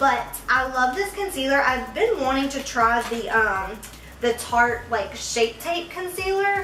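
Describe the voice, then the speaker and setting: Amid noticeable background noise and audible room echo, a woman projects a raised voice at a fairly slow pace, her high pitch moving in very wide swings. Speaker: beauty vlogger. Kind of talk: makeup tutorial with chit chat. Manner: casual, filler-heavy.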